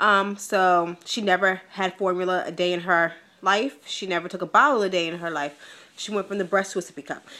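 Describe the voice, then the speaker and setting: A woman's bright, sharp tone at a medium pitch, fairly even in intonation and fairly quick in pace. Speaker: vlogger. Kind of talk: casual vlog. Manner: hesitant, many ums.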